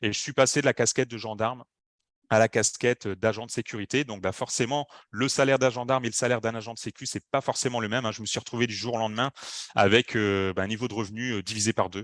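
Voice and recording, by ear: Fast and fairly low-pitched, a man talks with a fairly bright tone and fairly even intonation in a dry, close sound with no echo.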